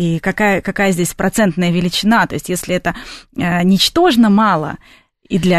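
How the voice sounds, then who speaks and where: In a plain, everyday voice, the speaker goes at a moderate pace with ordinary pitch variation over a quiet background. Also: woman. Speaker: radio host. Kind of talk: radio talk show hosting. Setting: radio studio.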